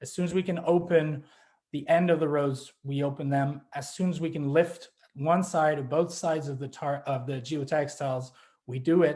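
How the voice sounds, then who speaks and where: At a moderate pace, a man talks in a dark, mellow tone, somewhat breathy and fairly high in pitch, with fairly even intonation. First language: French. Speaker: grape grower. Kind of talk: panel presentation. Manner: halting, many fillers and restarts.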